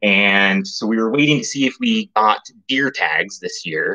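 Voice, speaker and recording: The speech comes at a fairly slow pace. The background is quiet. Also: man. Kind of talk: casual livestream chat. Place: kitchen. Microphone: webcam.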